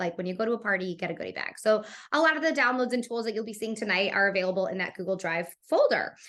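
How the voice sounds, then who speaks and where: Her voice bright and sharp, a woman speaks at a very fast pace with a fairly high pitch and lively intonation. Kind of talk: presentation.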